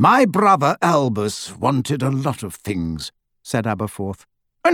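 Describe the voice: A quiet backdrop behind plain reading aloud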